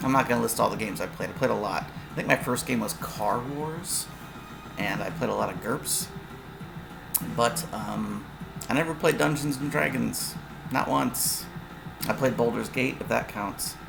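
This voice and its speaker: Music plays in the background as a man speaks at a moderate pace with long, frequent pauses, his voice carrying audible room echo. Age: 40s. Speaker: tabletop game designer and YouTuber. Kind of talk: casual monologue. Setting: livestream. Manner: casual, halting with fillers.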